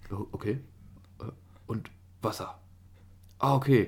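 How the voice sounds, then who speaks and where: A man speaks in a somewhat breathy voice. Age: young. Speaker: podcast co-host, in military service. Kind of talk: casual chat.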